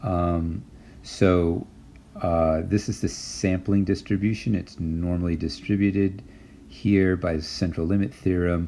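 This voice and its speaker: A man's very deep, low voice, fairly slow, with ordinary pitch variation. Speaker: university statistics lecturer. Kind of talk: lecture. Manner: halting, many fillers.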